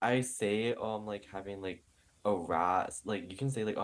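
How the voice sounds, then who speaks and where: A man with a Southern California accent, fairly quick pace and ordinary pitch variation. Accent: valley girl. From New York. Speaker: podcast co-host. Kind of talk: casual chat.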